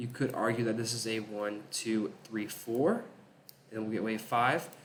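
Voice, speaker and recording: A man speaks at a moderate pace and medium pitch, his intonation fairly even, with audible room echo around him. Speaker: crypto chart analyst. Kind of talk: market analysis commentary.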